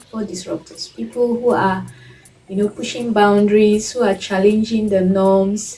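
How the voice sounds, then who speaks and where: A woman of medium pitch speaks over noticeable background noise. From Nigeria. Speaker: fashion YouTuber and illustrator. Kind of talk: casual vlog talk.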